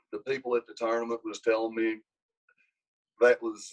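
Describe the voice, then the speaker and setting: A man speaks with an Appalachian accent. The sound is dry and close, with no echo. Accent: country Appalachian. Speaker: wrestling coach. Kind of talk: casual interview. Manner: animated.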